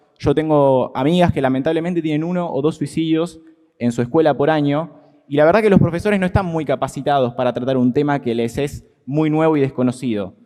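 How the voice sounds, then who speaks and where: A man's fairly high voice, dark and mellow in tone, at a fairly quick pace with ordinary pitch variation. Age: 20s. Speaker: student activist. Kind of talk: testimony at a legislative hearing. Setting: committee meeting.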